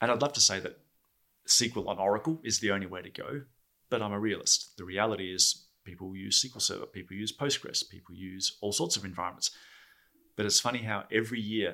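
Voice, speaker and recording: A bright, sharp tone comes through in an Australian accent at a fairly quick pace with ordinary pitch variation. The recording is very clean, with a silent background. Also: man. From Australia (Perth). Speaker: database advocate. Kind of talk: podcast interview. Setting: studio.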